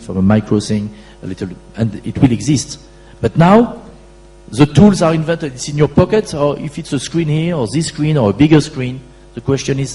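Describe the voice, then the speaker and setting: Speaking at a fairly quick pace with a French accent, a man makes very wide pitch swings over noticeable background noise. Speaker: e-commerce company founder and CEO. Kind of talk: conference Q&A answer.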